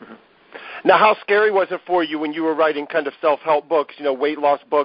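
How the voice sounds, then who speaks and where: Speaking with an American accent, a man with a fairly high pitch talks at a moderate pace with fairly even intonation in an unremarkable speaking voice. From US Midwest, Ohio. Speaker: podcast host, book interviewer. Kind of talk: casual interview.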